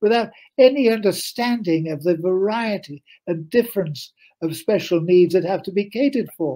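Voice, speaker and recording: A man talks in a high voice, keeping a moderate pace. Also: lively intonation. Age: 80s+. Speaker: author. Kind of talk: interview. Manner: animated.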